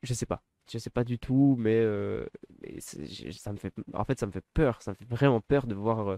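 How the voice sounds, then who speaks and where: In a very clean recording with a silent background, a man speaks fairly slowly in a dark, mellow tone, the sound dry and close with no echo. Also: medium pitch for a man, ordinary pitch variation. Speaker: wrestling commentator youtuber. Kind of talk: casual solo commentary. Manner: hesitant, stammering.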